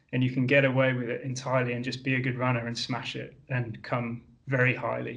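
With a British accent, a man talks at a very fast pace in a somewhat breathy voice. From UK. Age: 30s. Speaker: exercise scientist and endurance coach. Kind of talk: podcast interview. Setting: video call.

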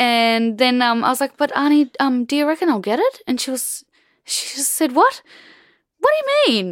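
Here a woman speaks in an Australian accent with ordinary pitch variation. The sound is dry and close, without echo. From Australia, rural Queensland. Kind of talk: casual interview conversation.

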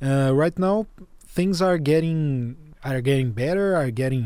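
A man speaks with a Portuguese accent in a dark, mellow tone. His pace is moderate, with ordinary pitch variation. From Brazil. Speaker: journalist and podcast host. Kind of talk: interview.

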